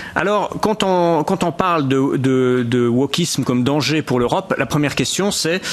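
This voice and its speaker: Behind the lively intonation there is noticeable background noise. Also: man. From Switzerland. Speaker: essayist speaking at a conference. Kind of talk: conference talk. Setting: conference room with interpreters. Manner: halting, many repeated words.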